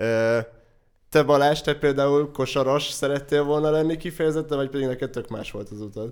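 In a plain, everyday voice, a man speaks at a fairly quick pace with a fairly high pitch, fairly even intonation and big swings in loudness, on a very clean recording with a silent background. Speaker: podcast host. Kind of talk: casual chat.

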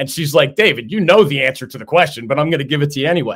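This is a normal speaking voice with lively intonation. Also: man. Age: 50s. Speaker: sports talk show host. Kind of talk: interview.

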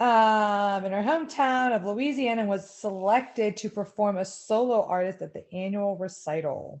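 A woman's unremarkable speaking voice at a medium pitch, with ordinary pitch variation, a moderate pace and hardly any pauses. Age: 30s. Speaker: podcast co-host. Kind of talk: casual chat.

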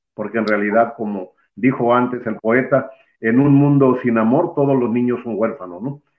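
A man in a normal speaking voice, medium pitch, ordinary pitch variation and a moderate pace. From Mexico, Veracruz. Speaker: alternative medicine practitioner. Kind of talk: interview. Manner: formal.

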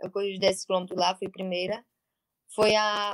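The sound is close and dry, without any echo. A woman speaks at a very fast pace. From Paraíba, Brazilian Northeast (Monteiro). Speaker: athlete. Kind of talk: interview. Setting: live stream.

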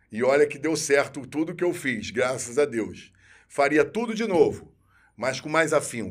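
In a normal speaking voice, a man talks at a fairly high pitch and moderate pace with lively intonation, on a very clean recording with a silent background. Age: 50s. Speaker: military police officer. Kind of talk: interview.

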